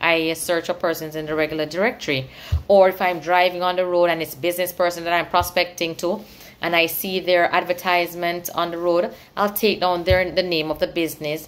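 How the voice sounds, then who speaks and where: An ordinary speaking voice from a woman, fairly low in pitch, at a fairly quick pace with fairly even intonation. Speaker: sales professional. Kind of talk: casual vlog chat. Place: home room. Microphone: phone near.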